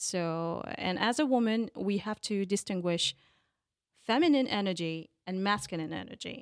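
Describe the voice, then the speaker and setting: Lively intonation and a moderate pace mark this voice with a French accent, heard in a very clean recording with a silent background. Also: woman, medium pitch for a woman. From France (Paris). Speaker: life and business coach. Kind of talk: interview. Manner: halting.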